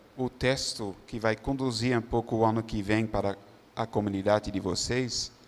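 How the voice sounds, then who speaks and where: A man talks at a medium pitch and a fairly slow pace, with fairly even intonation, on a very clean recording with a silent background. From Netherlands. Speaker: religious brother. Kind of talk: testimony. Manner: halting.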